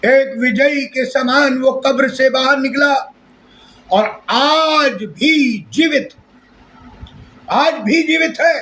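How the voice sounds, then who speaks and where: The voice is raised and projected, delivered at a very slow pace with very even loudness. Long pauses come often. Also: man, extremely high pitch for a man, ordinary pitch variation. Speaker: pastor. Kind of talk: sermon.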